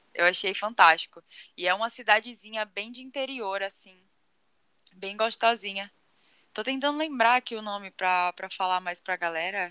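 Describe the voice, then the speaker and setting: A woman speaks at a moderate pace in a bright, sharp tone and a medium pitch, with ordinary pitch variation and long, frequent pauses. Her loudness swings widely, and the sound is dry and close with no echo. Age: 20s. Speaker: podcast co-host. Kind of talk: casual chat.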